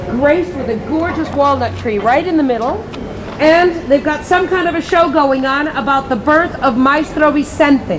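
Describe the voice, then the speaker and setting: A woman's high-pitched voice with an American accent, moderate pace and ordinary pitch variation, amid audible room echo and noticeable background noise. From US Northeast, Connecticut. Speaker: tour guide. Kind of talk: guided tour commentary. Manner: casual.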